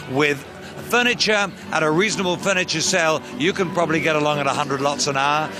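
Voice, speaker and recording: A man talks at a very fast pace in a fairly high pitch, with ordinary pitch variation. His loudness stays very even, and noticeable background noise can be heard. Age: 60s. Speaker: auctioneer. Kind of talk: interview.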